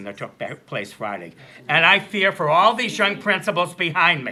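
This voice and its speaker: A man's high, bright and sharp voice at a fairly quick pace. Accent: American. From Massachusetts (Andover). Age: 60s. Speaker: member of the public speaking at a meeting. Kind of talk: public comment at a meeting. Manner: animated.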